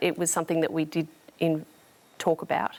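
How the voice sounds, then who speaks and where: A woman talks at a very fast pace. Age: 50s. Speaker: studio audience guest. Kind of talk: TV interview. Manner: hesitant.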